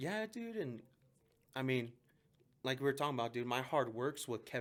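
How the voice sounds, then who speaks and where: A man talks with a Mexican accent. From Mexico, raised in southwest Denver. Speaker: police officer. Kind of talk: casual chat. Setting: podcast. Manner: animated.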